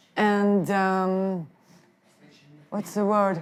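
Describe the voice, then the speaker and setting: Speaking at a very slow pace, a woman with a non-native accent uses a medium pitch. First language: not English. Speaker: filmmaker. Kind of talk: interview. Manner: halting.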